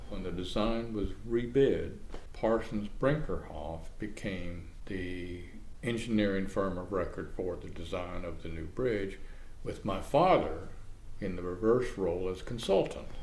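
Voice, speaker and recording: A man with an American accent, fairly low in pitch, fairly slow, with ordinary pitch variation and audible room echo. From Florida, Manatee County. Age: 70s. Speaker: oral history interviewee, retired journalist. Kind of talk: oral history interview.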